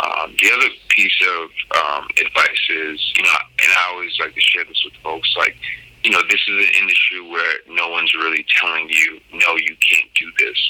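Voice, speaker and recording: Moderate-paced male speech in an American accent, with noticeable background noise. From US Northeast, Cambridge/Boston area. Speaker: podcast host, cannabis entrepreneur. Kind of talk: monologue interview answers. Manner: frequent fillers, um and you know.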